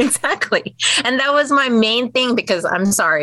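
A woman with an American accent is recorded with a dry, close sound and no echo, though background noise is noticeable. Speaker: cloth diaper business owner. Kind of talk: interview. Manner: loud.

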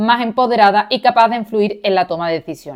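A woman with an Andalusian accent, fairly high in pitch, at a moderate pace, on a very clean recording with a silent background. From Andalusia, Seville. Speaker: podcast co-host, university lecturer in Arabic studies. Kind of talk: educational podcast chat.

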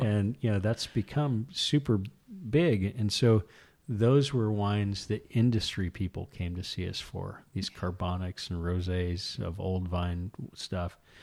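A man with an American accent speaks fairly slowly in a normal speaking voice, fairly low in pitch with ordinary pitch variation. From California, Santa Maria Valley. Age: 40s. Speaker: rancher and winemaker. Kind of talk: casual interview chat. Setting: at host's kitchen table.

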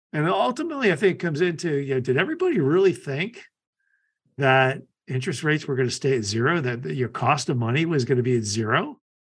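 A man with a fairly high pitch speaks at a very fast pace, somewhat breathy, with lively intonation. The background is quiet. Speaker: podcast host. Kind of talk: casual interview chat.

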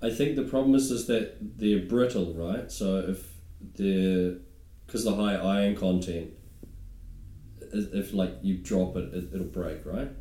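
A man's very deep, low voice with a dark, mellow tone and a New Zealand accent, lively intonation at a fairly slow pace, long, frequent pauses, and audible room echo. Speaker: stand-up comedian. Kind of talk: casual chat.

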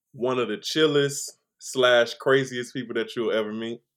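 An unremarkable speaking voice comes from a man with an American accent, medium pitch and ordinary pitch variation. He speaks at a fairly slow pace in a very clean recording with a silent background. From Chicago, Illinois. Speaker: singer and vocal producer. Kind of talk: casual interview chat.

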